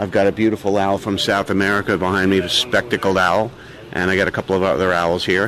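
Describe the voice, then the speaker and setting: Amid noticeable background noise, a man speaks at a very fast pace. His pitch is fairly low and his loudness very even. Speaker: raptor show presenter. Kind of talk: interview. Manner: showman, enthusiastic.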